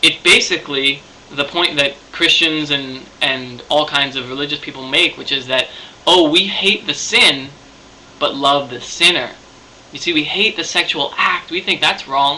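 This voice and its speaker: There is noticeable background noise as a man speaks at a moderate pace. His voice is fairly high, with ordinary pitch variation. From Canada. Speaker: video blogger. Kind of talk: video response monologue. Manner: halting, many fillers.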